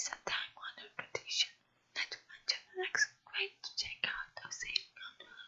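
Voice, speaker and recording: This is a whispered voice. The pace is moderate. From Brazil. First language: Portuguese. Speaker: non-native English learner practicing reading aloud. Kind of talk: ASMR whispered book reading.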